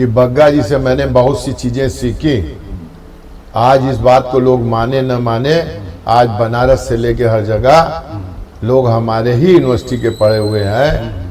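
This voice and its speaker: Against audible room echo and noticeable background noise, a man speaks at a medium pitch with ordinary pitch variation. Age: 60s. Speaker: trade association leader. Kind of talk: interview.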